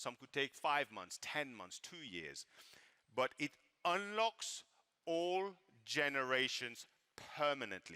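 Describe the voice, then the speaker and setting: A man's fairly high voice with a bright, sharp tone and a French accent, very slow with long, frequent pauses, very wide pitch swings and big swings in loudness, in a dry, close sound with no echo. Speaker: network marketing company leader. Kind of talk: sales pitch.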